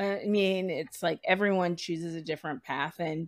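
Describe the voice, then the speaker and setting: In a normal speaking voice, a woman with an American accent talks at a fairly slow pace and medium pitch with ordinary pitch variation, on a very clean recording with a silent background. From US Northeast, Providence, Rhode Island. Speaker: photo editor and producer. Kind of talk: interview conversation.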